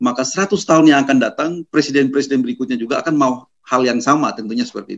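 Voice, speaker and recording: A man talks at a very fast pace. His pitch varies in an ordinary way, and the background is quiet. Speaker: constitutional law expert; panelist. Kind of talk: webinar talk. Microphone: webcam.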